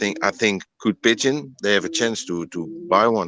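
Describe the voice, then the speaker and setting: A man's fairly low voice in a Dutch accent, bright and sharp in tone, with a dry, close sound and no echo. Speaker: pigeon breeder. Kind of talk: interview. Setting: live online broadcast. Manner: halting.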